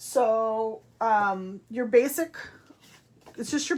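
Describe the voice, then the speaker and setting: Her pitch rises and falls in an ordinary way. The woman's voice is fairly high. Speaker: papercraft demonstrator. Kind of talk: craft tutorial. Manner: loud.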